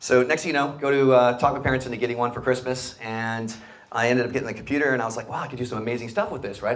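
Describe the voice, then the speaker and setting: A very fast-talking man with an American accent, medium in pitch, amid noticeable background noise and audible room echo. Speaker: startup founder and CEO. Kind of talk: live interview on stage. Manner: animated.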